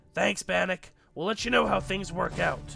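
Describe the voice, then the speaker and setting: Doing a put-on character voice, a man sounds raspy as he speaks at a moderate pace over faint music in the background. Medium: game stream. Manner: calm, practical.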